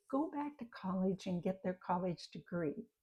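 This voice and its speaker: Speaking at a fairly slow pace, a woman has a somewhat breathy, dark, mellow tone at medium pitch. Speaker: retirement lifestyle vlogger. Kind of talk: motivational talk to camera. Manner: earnest, encouraging.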